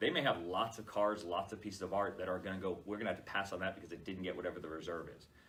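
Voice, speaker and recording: Fairly even intonation delivered at a very fast pace, with noticeable noise behind it. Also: man. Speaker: charity auctioneer. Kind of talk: interview answer, casual explanation.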